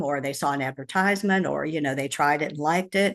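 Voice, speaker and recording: A woman is speaking. She goes at a very fast pace. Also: quiet background. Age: 70s. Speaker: wellness products distributor. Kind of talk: casual interview. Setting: video call. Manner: halting.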